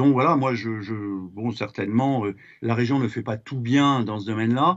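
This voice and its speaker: Medium pitch and moderate pace from a man, his pitch variation ordinary. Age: 60s. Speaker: regional councillor. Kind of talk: political speech in council session. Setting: regional council plenary chamber. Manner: hesitant, many fillers.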